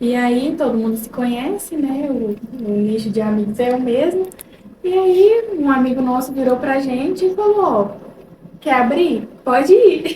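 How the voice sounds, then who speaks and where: A woman with a mineiro accent, high-pitched and fairly slow, with lively intonation, noticeable background noise and audible room echo. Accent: mineiro (Minas Gerais), still noticeable. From Minas Gerais, Brazil (Ituiutaba). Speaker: real estate consultant. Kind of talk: casual interview chat.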